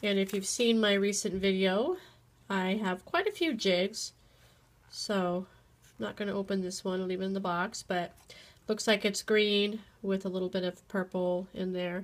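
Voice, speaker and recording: Long, frequent pauses break up a woman's monotone, flat delivery. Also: medium pitch for a woman, moderate pace. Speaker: teacher. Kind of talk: casual unboxing talk to camera.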